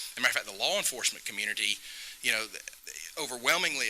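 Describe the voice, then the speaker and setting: Over noticeable background noise, a man talks with a Southern US accent. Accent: Southern US (Georgia). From US South. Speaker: state legislator. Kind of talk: public talk.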